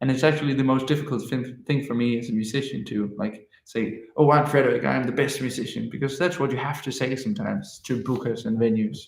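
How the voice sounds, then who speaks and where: A man's medium-pitched voice with vocal fry, a Danish accent, ordinary pitch variation and audible room echo. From Denmark. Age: 20s. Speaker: musician. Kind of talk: livestream chat. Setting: livestream.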